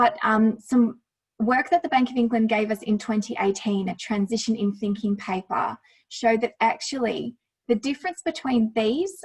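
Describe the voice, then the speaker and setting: A woman with an Australian accent speaks at a moderate pace in a fairly high, somewhat breathy voice. Her pitch varies in an ordinary way. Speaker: lawyer presenting on climate risk. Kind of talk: presentation with slides.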